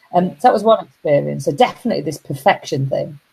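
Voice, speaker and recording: With a Yorkshire accent, the voice is somewhat breathy and moves at a fairly quick pace. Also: woman. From Yorkshire, northern England. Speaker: motivational coach and speaker. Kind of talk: casual live-stream talk. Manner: hesitant, many fillers.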